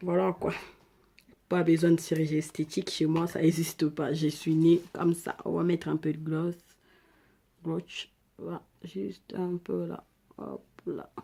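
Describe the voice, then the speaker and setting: A woman with an African accent speaks fairly slowly in a fairly low voice with a dark, mellow tone. Her intonation is fairly even, with long, frequent pauses. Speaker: beauty vlogger. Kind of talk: makeup tutorial. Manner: casual, chatty.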